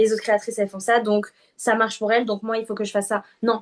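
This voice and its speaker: A woman with a fairly high-pitched voice. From southern France. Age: 20s. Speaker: UGC content creator. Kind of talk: interview. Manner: hesitant, many fillers.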